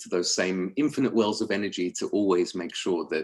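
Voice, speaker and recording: Speaking fairly quickly, a man talks with a London accent. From London, England. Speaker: sales executive. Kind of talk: webinar presentation.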